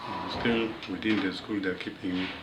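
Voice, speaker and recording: A man with a fairly low pitch and fairly even intonation is heard amid noticeable background noise and audible room echo. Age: 80s+. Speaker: retired teacher. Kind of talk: life story talk.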